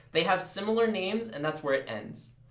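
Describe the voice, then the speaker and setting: With audible room echo, a man speaks high for a man, his tone animated and his intonation lively. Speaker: chemistry tutor. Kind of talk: live tutoring session. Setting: live stream.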